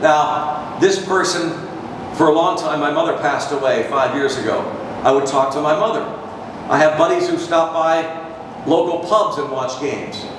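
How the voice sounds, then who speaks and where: Amid noticeable background noise and audible room echo, a man with a fairly high pitch talks at a moderate pace with fairly even intonation. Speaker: baseball radio broadcaster. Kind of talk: guest talk to a university audience about his career. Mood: warm, reflective. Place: hall.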